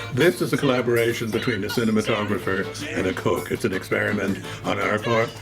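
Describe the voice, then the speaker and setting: Very fast speech from a man with an American accent at medium pitch, ordinary pitch variation, and music in the background. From New York. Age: 80s+. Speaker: cook. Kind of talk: cookery demonstration.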